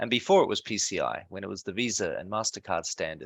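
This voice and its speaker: In an Australian accent, a man speaks at a very fast pace. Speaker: security software company co-founder. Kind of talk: self-introduction on webinar. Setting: video call webinar.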